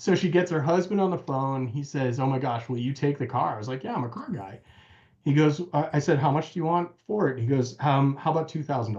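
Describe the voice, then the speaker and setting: Somewhat breathy and fairly high, a man's voice with an American accent races at a very fast pace with ordinary pitch variation. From United States. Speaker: car restorer. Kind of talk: casual chat.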